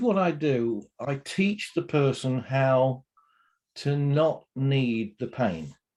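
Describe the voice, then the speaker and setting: Lively intonation marks this man's medium-pitched voice, delivered in a British accent. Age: 60s. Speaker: pain therapy trainer. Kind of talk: interview. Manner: energetic.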